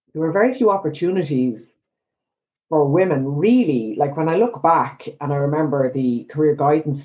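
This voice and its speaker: A woman's very deep, low voice in an Irish accent, dark and mellow in tone, at a moderate pace with ordinary pitch variation. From Ireland. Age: 50s. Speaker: psychotherapist. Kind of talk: casual interview.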